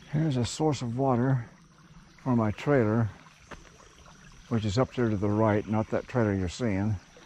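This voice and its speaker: A man speaks with ordinary pitch variation and long, frequent pauses. Noticeable background noise runs behind him. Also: medium pitch for a man, moderate pace. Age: 70s. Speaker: landowner learning to run an excavator. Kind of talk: casual narration while working outdoors. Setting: outdoors.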